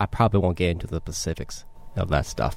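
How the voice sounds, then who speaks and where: A man speaks with an American accent in a very clean recording with a silent background. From Los Angeles, California. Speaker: Marine veteran, PhD student. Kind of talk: interview. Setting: studio.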